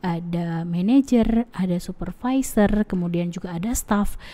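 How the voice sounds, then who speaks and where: Her pitch at a medium level, a woman speaks in a dark, mellow tone with ordinary pitch variation. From Aceh, Indonesia. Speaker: university lecturer. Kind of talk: lecture. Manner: hesitant with fillers.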